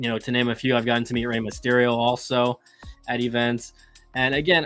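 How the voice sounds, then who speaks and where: Someone talks in an American accent with music playing in the background. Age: 30s. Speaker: wrestling podcast host. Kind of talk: solo podcast monologue. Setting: live stream, camera off. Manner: halting, repetitive.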